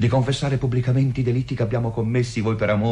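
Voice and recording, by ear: Intonation stays fairly even as the voice reads aloud in a natural way.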